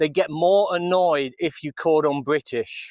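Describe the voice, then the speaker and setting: An English accent in a dry, close sound with no echo against a quiet background. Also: man. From England. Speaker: vlogger. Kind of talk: live stream chat. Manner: casual.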